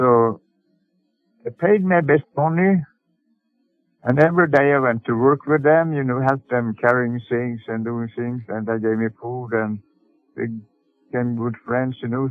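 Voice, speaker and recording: A man with a Swedish accent at medium pitch, fairly slow with long, frequent pauses, music in the background. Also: ordinary pitch variation. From Sweden. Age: 80s+. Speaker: sailor and boatbuilder. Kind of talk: interview answer.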